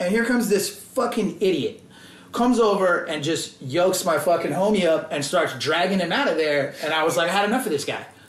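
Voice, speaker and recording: A man with a high pitch speaks at a fairly quick pace and with ordinary pitch variation. Noticeable background noise and audible room echo fill the recording. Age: 30s. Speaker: hardcore/punk musician. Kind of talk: casual chat.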